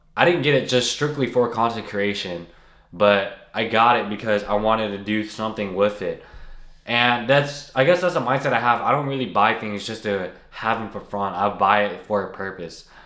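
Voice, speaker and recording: In a room with audible echo, a man with a medium pitch and a bright, sharp tone talks at a moderate pace with ordinary pitch variation. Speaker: content creator. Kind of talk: casual talking-head video. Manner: unedited, halting with restarts.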